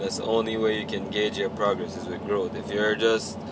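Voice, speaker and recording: This man has a medium pitch and a relaxed tone. He moves at a fairly quick pace over noticeable background noise. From Jamaica. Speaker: truck driver vlogger. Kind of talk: casual vlog. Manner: casual, relaxed.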